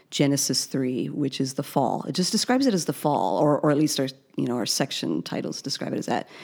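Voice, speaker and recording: The speech runs at a very fast pace with lively intonation. Vocal fry comes through in the voice. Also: woman, very deep, low pitch for a woman. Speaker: podcast co-host. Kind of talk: casual chat.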